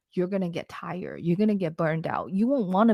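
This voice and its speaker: In a very clean recording with a silent background, a woman with a non-native accent speaks at a fairly low pitch. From immigrant to Canada at fourteen. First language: not English. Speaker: lash business founder. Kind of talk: podcast interview. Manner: casual, conversational.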